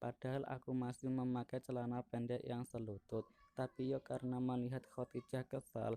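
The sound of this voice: This is an unforced reading voice. The words are read out.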